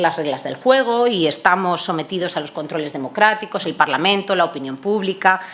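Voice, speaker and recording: Over noticeable background noise, a woman with a medium-pitched voice speaks at a moderate pace with lively intonation. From Spain, Toledo. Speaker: NATO public diplomacy coordinator, panelist. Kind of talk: conference panel talk. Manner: hesitant, many fillers.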